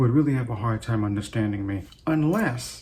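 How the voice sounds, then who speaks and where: A somewhat breathy man's voice at medium pitch. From Trinidad. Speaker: video blogger. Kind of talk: casual monologue. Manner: halting.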